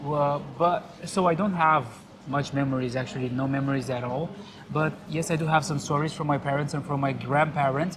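Someone speaks with a Romanian accent over noticeable background noise. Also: moderate pace. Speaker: local guide. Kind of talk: casual chat. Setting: bar.

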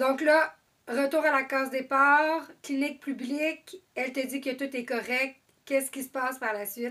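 A woman with a high pitch and a bright, sharp tone speaks fairly slowly with fairly even intonation. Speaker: podcast host, mother. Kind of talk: casual interview.

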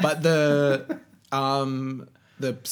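This man speaks with an Australian accent. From Australia (Canberra, then Sydney). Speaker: magazine creative director. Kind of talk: casual interview chat. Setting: home.

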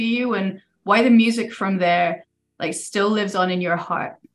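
A woman's pace is moderate and her pitch varies in an ordinary way, delivered in an ordinary speaking voice. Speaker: podcast host. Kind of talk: casual interview conversation.

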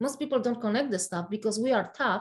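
A woman's fairly high, somewhat breathy voice with ordinary pitch variation and a Polish accent. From Poland. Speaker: functional nutritionist. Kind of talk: interview.

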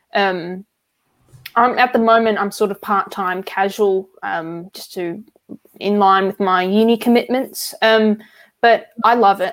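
A woman with an Australian accent and a medium pitch, speaking at a fairly slow pace with fairly even intonation, in a very clean recording with a silent background. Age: 20s. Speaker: card collector and hobby shop worker. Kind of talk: casual chat.

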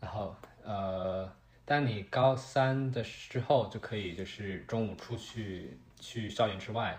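A somewhat breathy man at fairly low pitch, very slow pace and ordinary pitch variation. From China, Shanghai. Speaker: engineering student. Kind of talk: casual chat.

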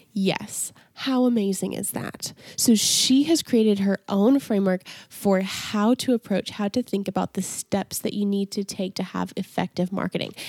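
A woman's ordinary speaking voice at medium pitch, with ordinary pitch variation, a moderate pace, and a dry, close sound with no echo. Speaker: podcast host. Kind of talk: casual interview chat.

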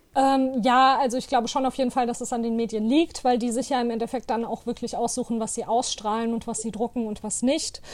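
With hardly any pauses, a woman talks in a high voice. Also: fairly even intonation, fairly quick pace. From Hanau, Hesse, Germany. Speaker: activist and artist. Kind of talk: interview. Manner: many hesitations (äh, ähm).

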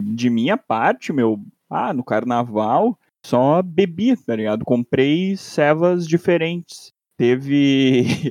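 A man's fairly high voice at a very slow pace, lively in intonation, dry and close with no echo against a quiet background. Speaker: podcast co-host, master's student. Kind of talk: casual chat.

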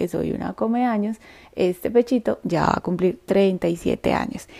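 A woman's medium-pitched voice in a dark, mellow tone, at a fairly slow pace with ordinary pitch variation, dry and close with no echo on a very clean recording against a silent background. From Colombia, Antioquia. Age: 30s. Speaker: podcast host, triathlete. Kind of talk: personal storytelling monologue.

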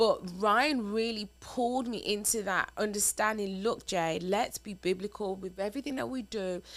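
A woman with a plain, everyday voice talks at a moderate pace and medium pitch, using ordinary pitch variation and hardly any pauses. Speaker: married couple podcast co-host. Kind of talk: casual conversation, relationship advice.

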